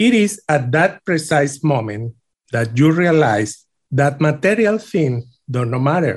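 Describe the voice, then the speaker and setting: A man's fairly high, somewhat breathy voice with a Venezuelan accent, very wide pitch swings and a fairly slow pace. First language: Spanish. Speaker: immigrant. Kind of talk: personal story reading.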